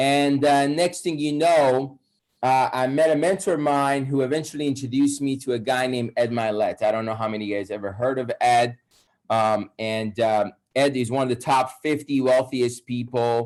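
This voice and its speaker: Speaking in a Persian accent, a man at medium pitch keeps a moderate pace. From Iran. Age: 30s. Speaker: wealth coach. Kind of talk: webinar presentation.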